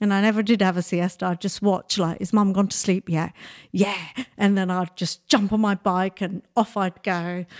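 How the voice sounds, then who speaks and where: A woman speaks at a medium pitch and a moderate pace, her intonation monotone and flat. The recording is very clean with a silent background and a dry, close sound with no echo. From Nigeria. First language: Bengali. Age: 60s. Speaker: makeup artist and beauty entrepreneur. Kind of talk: interview.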